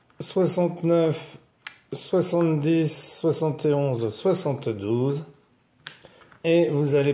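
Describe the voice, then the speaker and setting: A very slow man's voice, fairly high in pitch with ordinary variation, with audible room echo. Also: long, frequent pauses, very even loudness. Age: 60s. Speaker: board game presenter. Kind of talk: tutorial. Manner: casual explanatory.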